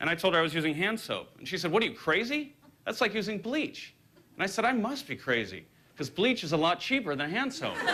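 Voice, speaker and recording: Over noticeable background noise, a man talks very fast in a raised, projected voice that is high in pitch with very wide pitch swings. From Southern California. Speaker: comedian. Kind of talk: stand-up. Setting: stage with audience. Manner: hesitant, with frequent uh fillers.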